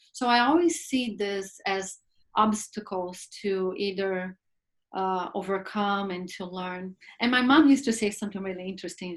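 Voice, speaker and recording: A woman speaks with a Brazilian Portuguese accent at a medium pitch and a moderate pace, her voice somewhat breathy. Her pitch variation is ordinary, and the recording is very clean with a silent background. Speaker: film producer and actress. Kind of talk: talk show interview. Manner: halting, with repeated words.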